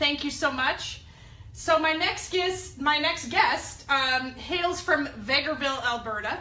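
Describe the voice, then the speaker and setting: High-pitched, raised and projected female voice, energetic in tone, with ordinary pitch variation, a fairly slow pace and audible room echo. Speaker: network marketing leader hosting a company call. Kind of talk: conference call hosting.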